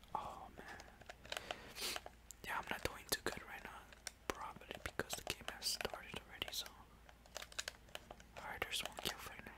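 Someone whispers at a moderate pace with long, frequent pauses. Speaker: gaming ASMR creator. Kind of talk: ASMR gameplay commentary. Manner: whispered; relaxing.

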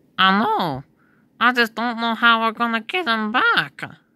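A cartoonish character voice from a woman, fairly high in pitch, with lively intonation at a moderate pace. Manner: skeptical, questioning.

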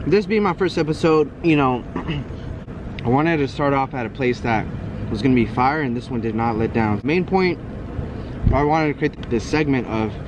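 Noticeable background noise sits under a man speaking at a moderate pace, the sound dry with no echo. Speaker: food vlogger. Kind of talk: casual vlog chat. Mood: relaxed, friendly. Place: street. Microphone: phone near.

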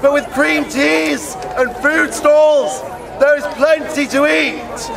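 A man's extremely high-pitched, loud voice at a very slow pace, with noticeable background noise. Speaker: town crier. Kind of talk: town crier proclamation in rhyming verse. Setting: outdoors at a festival. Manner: loud, projected, ceremonial. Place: open country. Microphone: handheld.

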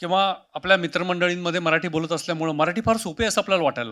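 In a very clean recording with a silent background, a man projects a raised voice with a bright, sharp tone. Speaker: senior civil servant, city commissioner. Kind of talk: interview. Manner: measured, with pauses.

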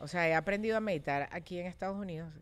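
A woman's lively intonation. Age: 40s. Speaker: former beauty pageant contestant; podcast guest. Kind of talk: casual chat. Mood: reflective, personal. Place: studio. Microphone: studio mic.

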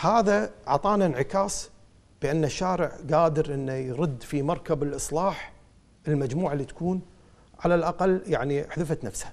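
This man's voice sits at a fairly high pitch, with ordinary pitch variation. He keeps a moderate pace. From Kuwait. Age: 40s. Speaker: politician and lawyer; election candidate. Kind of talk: TV interview. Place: studio. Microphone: lapel.

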